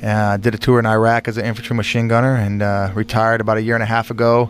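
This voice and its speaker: A man's very fast, monotone, flat delivery over noticeable background noise. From California, Bakersfield. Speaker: war veteran and former football player. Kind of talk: radio interview. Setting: studio.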